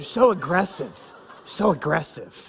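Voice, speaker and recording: A man puts on a character voice pitched high. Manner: accusing.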